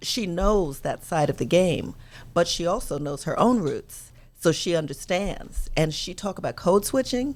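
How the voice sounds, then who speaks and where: In a very clean recording with a silent background, a woman with a slight South Carolina accent talks at a fairly slow pace, her medium pitch carried by lively intonation. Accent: slight South Carolina Southern. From New York, with summers and high school in South Carolina. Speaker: talk show host and political commentator. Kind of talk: casual chat.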